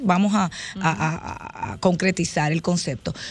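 A woman speaks at a moderate pace in a normal speaking voice. Her pitch sits in the medium range. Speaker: dentist. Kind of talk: radio interview.

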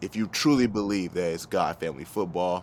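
An animated man with a very deep, low pitch speaks at a moderate pace in an American accent. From US South, Georgia (Gwinnett County). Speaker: former pro football player and golf YouTuber. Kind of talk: casual interview chat. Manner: casual, animated.

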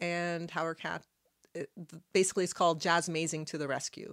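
A woman speaks at a fairly quick pace in a fairly low pitch, recorded very cleanly against a silent background. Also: dry, close sound with no echo. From Halifax, Nova Scotia, Canada. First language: Arabic. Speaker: podcast guest. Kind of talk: casual chat.

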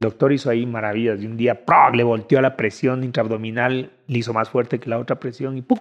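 A man with a plain, everyday voice speaks at a fairly quick pace. His pitch is medium and his intonation fairly even. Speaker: musician and drummer. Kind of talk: casual chat interview.

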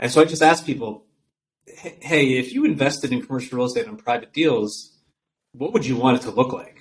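A man's medium-pitched, fairly quick delivery with ordinary pitch variation, big swings in loudness, and a normal speaking voice. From upstate New York. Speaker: real estate investment firm founder. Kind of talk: interview conversation.

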